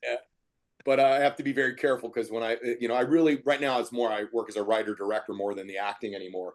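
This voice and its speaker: With an American accent, a man talks at a very fast pace in a medium pitch with ordinary pitch variation against a quiet background. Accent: Philadelphia accent, can turn on and off. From Philadelphia. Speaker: writer, director and comedian. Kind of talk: casual podcast chat.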